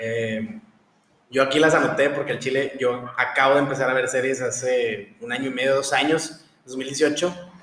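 A man talks at a fairly slow pace. His voice carries an audible room echo. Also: medium pitch for a man, ordinary pitch variation. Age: 20s. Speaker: podcast host, medical student. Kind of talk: casual chat.

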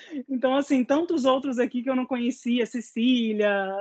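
A woman with a normal speaking voice, fairly high pitch, ordinary pitch variation and moderate pace, in a dry, close sound with no echo. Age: 30s. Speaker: music educator. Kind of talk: online panel conversation.

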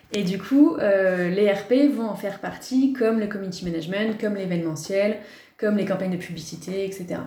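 Heard with audible room echo, a woman at medium pitch speaks at a moderate pace with ordinary pitch variation. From Paris, France. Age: 30s. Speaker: press officer. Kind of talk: podcast interview.

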